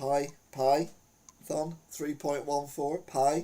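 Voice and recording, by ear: In audible room echo, a man talks very slowly at a fairly high pitch, his tone dark and mellow with little pitch movement.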